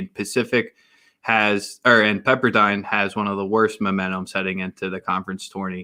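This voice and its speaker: On a very clean recording with a silent background, a man with a Philadelphia accent speaks at a moderate pace in a fairly low, bright, sharp tone with monotone, flat intonation. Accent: Philly. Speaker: sports podcast host. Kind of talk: casual sports chat.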